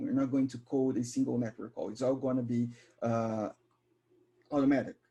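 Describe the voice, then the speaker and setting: A man's dark, mellow tone at medium pitch and a fairly quick pace. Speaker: software developer advocate. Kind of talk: live coding tutorial. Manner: fast.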